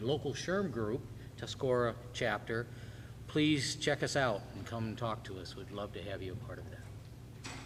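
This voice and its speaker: A man's medium-pitched, somewhat breathy voice with an American accent, ordinary pitch variation and audible room echo. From Michigan. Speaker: human resources professional, panelist. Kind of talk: panel discussion.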